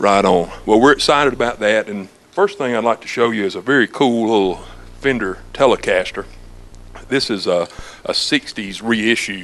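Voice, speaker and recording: A man at a moderate pace, an ordinary speaking voice with ordinary pitch variation. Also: medium pitch for a man. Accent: American. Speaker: music store staff. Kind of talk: infomercial interview answer. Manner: casual, friendly.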